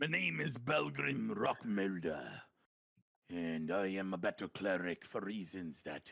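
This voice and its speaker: At a fairly slow pace, a man performs a put-on character voice with a very deep, low pitch. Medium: actual play.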